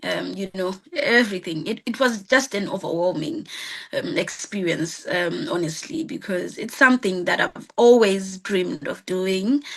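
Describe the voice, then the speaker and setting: A woman's medium-pitched voice with lively intonation at a moderate pace, amid noticeable background noise. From Zimbabwe. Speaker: singer, support worker. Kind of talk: interview answer. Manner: hesitant, many fillers.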